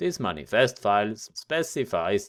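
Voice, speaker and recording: At a fairly slow pace, a voice with a German accent comes through dry and close with no echo, on a very clean recording with a silent background. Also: man. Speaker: tech tutorial youtuber. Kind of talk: tutorial. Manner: casual, somewhat halting.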